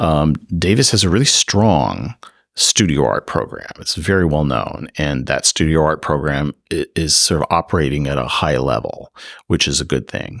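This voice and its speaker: A man speaks with an American accent and vocal fry. His voice is very deep and low, at a moderate pace. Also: lively intonation. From US Midwest, Chicago area. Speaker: art history professor. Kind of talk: interview.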